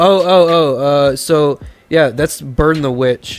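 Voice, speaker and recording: Music plays in the background while a man speaks at a very slow pace. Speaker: podcast co-host. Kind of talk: casual chat. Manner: stuttering, halting.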